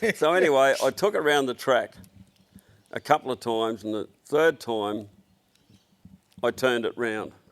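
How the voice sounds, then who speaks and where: A man with an Australian accent speaks at a moderate pace, his intonation lively. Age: 70s. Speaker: automotive business owner. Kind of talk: casual chat. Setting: workshop shed.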